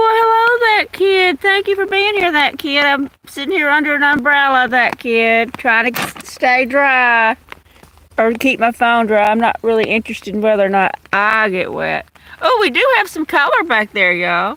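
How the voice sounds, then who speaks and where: A woman with a Louisiana accent projects a raised voice at a high pitch. Her tone is bright and sharp, with very wide pitch swings. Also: moderate pace. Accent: Louisiana Southern. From Louisiana, US South. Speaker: nature livestreamer. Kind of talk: casual live-stream chat. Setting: outdoors in the rain under an umbrella.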